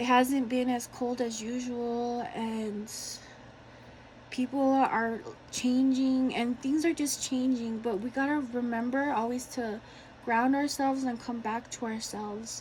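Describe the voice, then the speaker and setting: In a high-pitched, shaky voice, a woman talks at a fairly slow pace with fairly even intonation. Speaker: tarot reader. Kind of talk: tarot reading to camera.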